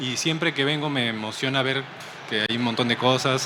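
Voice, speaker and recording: Spoken with a Peruvian accent and ordinary pitch variation, the clip carries noticeable background noise. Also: man. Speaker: comic artist. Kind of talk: interview. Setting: comic convention stream set.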